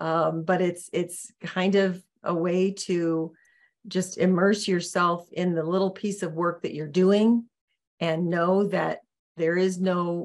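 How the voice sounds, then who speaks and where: A woman's very slow, monotone speech with flat intonation. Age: 60s. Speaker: podcast guest, coach. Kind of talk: casual interview chat.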